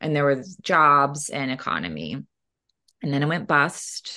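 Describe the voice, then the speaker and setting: In a quiet background, a woman with an American accent speaks in a very deep, low pitch with vocal fry and ordinary pitch variation. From northeastern Oklahoma (Miami). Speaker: novelist. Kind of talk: interview. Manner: frequent fillers (um).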